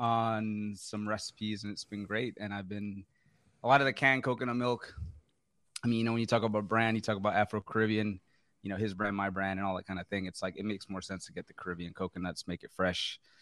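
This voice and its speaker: Recorded very cleanly against a silent background, a man with an unremarkable speaking voice and fairly low pitch talks at a fairly quick pace, his intonation fairly even but his loudness swinging widely. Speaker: baker guest. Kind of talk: casual banter. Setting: studio.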